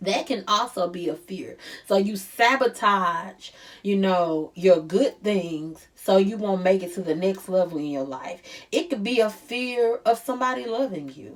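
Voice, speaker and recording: Speaking at a fairly slow pace with a St. Louis accent, a woman uses lively intonation and a medium pitch, with big swings in loudness. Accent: St. Louis accent, noticeable. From US Midwest, St. Louis. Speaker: life coach. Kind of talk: motivational talk. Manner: stresses R sounds; casual, conversational.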